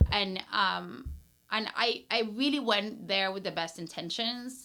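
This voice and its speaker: On a very clean recording with a silent background, a woman speaks at a fairly slow pace with a Peruvian accent. Her medium-pitched voice is bright and sharp, with vocal fry and ordinary pitch variation. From Peru, Lima. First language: Spanish. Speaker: brand strategist and entrepreneur. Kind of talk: casual interview chat.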